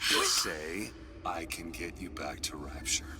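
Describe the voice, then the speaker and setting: In a put-on character voice, a man talks at a fairly slow pace with a very deep, low pitch, with clear background noise behind him. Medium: game stream. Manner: urgent, hushed.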